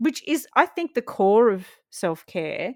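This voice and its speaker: A woman with an Australian accent at a fairly slow pace, on a very clean recording with a silent background and dry, close sound with no echo. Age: 40s. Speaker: TV and radio presenter. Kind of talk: podcast hosting.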